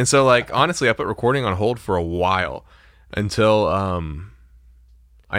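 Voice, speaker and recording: At a moderate pace, a man speaks in an ordinary speaking voice with a fairly low pitch and ordinary pitch variation. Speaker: podcast host, music producer. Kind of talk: casual chat. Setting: home studio.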